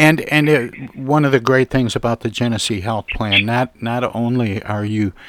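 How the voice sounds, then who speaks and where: A man has an unremarkable speaking voice at medium pitch with ordinary pitch variation. He keeps a moderate pace in a dry, close sound with no echo. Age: 60s. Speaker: radio host. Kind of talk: radio interview.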